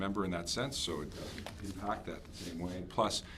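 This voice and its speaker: There is a very deep, low pitch to this man's voice, yet a bright, sharp tone. Audible room echo follows his speech. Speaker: police officer presenting to council. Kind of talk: presentation to town council. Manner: fast.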